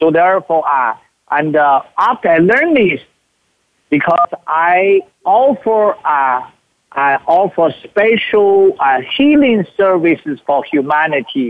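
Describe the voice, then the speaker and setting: A man's high-pitched voice with a Chinese accent, very slow pace, very wide pitch swings and very even loudness. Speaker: spiritual teacher. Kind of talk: teaching talk; guided meditation. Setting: live from a retreat. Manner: halting.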